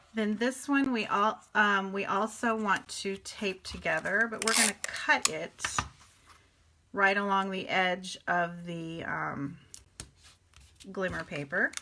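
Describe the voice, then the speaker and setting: Against noticeable background noise, a woman talks at a very slow pace and medium pitch, with ordinary pitch variation and long, frequent pauses. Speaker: paper craft teacher. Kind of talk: live stream tutorial. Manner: casual, chatty.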